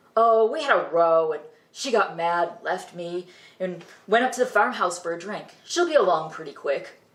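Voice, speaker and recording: A put-on character voice in a middle pitch moves along at a moderate pace. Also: female-sounding voice. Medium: read story.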